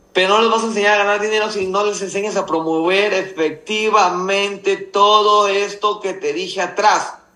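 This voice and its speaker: Over noticeable background noise and audible room echo, a man speaks at a moderate pace in a raised, projected voice that is high-pitched and flat, with monotone intonation. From Mexico, Nayarit. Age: 30s. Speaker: network marketing leader. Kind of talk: business mentoring talk.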